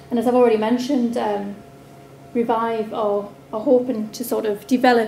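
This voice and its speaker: A woman speaks at a moderate pace with fairly even intonation. Light background noise and audible room echo are present. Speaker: council presenter. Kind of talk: conference presentation. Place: hall. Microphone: camera far.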